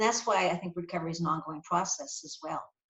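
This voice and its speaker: This woman's voice sits at medium pitch and sounds somewhat breathy. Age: 60s. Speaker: psychologist and addiction specialist. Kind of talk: Q&A after a lecture. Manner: halting, with repetitions.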